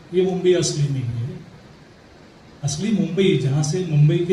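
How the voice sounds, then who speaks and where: With a Marathi accent, a man's high voice shows ordinary pitch variation against audible room echo and noticeable background noise. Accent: Marathi-accented Hindi. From Mumbai, India. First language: Marathi (speaking Hindi). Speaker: Mumbai history researcher. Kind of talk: talk at literary event. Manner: halting, with fillers.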